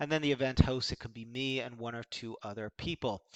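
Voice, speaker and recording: Recorded with a dry, close sound and no echo, a man has a normal speaking voice at medium pitch with ordinary pitch variation. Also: quiet background. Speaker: sales coach for startup founders. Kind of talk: software review tutorial. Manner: casual, many fillers.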